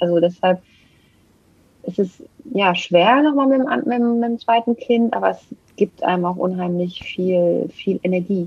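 Somewhat breathy and at medium pitch, a woman speaks fairly slowly with lively intonation and long, frequent pauses. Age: 40s. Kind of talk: testimony. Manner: halting.

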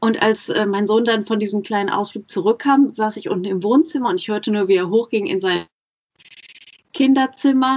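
Lively in intonation, a woman with a fairly high pitch speaks at a moderate pace. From Germany, Ruhr area. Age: 30s. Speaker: podcaster and mother. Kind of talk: casual interview. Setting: Skype call.

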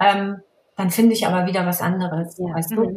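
The speaker is a woman with a plain, everyday voice. She talks fairly quickly with ordinary pitch variation. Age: 40s. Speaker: fashion blogger. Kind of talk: casual chat.

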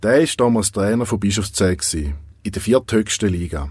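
This man has an ordinary speaking voice pitched fairly low. His pitch variation is ordinary. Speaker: podcast host and narrator. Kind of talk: scripted narration.

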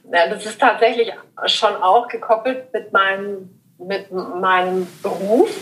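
A woman's medium-pitched voice at a very slow pace, with fairly even intonation and big swings in loudness. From southern Germany, Lake Constance. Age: 40s. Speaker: style consultant. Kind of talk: casual interview. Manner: hesitant, many fillers.

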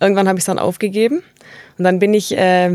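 Recorded very cleanly against a silent background, a woman with a plain, everyday voice speaks in fairly even intonation. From Tuttlingen district, southwest Germany. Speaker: linguist. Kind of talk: interview, expert explanation.

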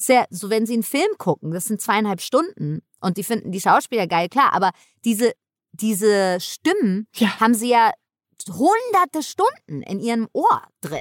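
With a fairly high pitch and very wide pitch swings, a woman speaks in an animated tone at a moderate pace, the sound dry and close with no echo. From New York. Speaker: actress, comedian and video game voice actor. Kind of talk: casual interview chat.

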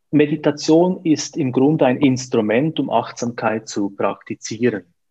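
At a fairly slow pace, a man with a fairly high pitch and ordinary pitch variation speaks in a normal speaking voice. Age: 40s. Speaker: coach. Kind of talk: interview.

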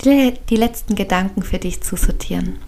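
A woman speaks very slowly in a soothing, gentle tone. Her intonation stays monotone and flat. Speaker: podcast host and meditation guide. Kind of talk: guided meditation. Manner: slow, soothing and gentle, with long calm pauses; soft-spoken and warm.

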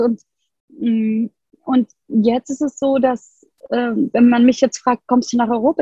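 Her voice is high in pitch, with a dark, mellow tone. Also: dry, close sound with no echo. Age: 40s. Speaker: yoga and human design coach. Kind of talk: interview conversation.

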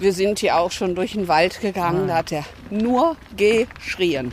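Speaking at a very slow pace, a woman with a medium pitch is heard over noticeable background noise. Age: 60s. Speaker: hospice volunteer. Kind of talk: interview on a walk. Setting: outdoors.

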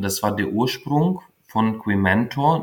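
A man speaks at a medium pitch. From Ukraine. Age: 40s. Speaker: founder of a queer youth mentoring initiative. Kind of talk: interview. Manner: halting, many fillers.

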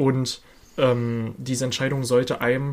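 Somewhat breathy, the man's voice sits at a medium pitch. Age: 20s. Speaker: podcast co-host, film and games fan. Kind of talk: casual chat.

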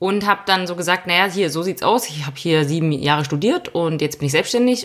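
At a moderate pace, a woman with a fairly low pitch talks in a normal speaking voice with ordinary pitch variation. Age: 30s. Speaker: podcast co-host, self-employed mountain biker. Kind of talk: casual chat.

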